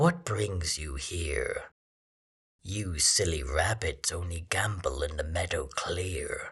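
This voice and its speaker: A man does a put-on character voice at a very deep, low pitch. He speaks at a very slow pace. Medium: read story.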